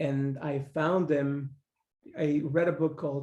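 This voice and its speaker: In a very slow, flat monotone, a man talks at a fairly high pitch with a somewhat breathy, dark, mellow tone. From Mexico. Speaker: podcast guest. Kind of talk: casual chat. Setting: living room.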